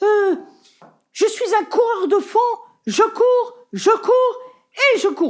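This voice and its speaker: A woman's put-on character voice, extremely high in pitch, very slow, with very even loudness and long, frequent pauses. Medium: solo performance. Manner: hesitant, earnest.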